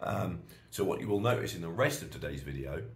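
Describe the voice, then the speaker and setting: In an animated tone and a British accent, a man speaks at a moderate pace with vocal fry and very wide pitch swings, with audible room echo. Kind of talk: casual vlog monologue. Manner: animated ranting.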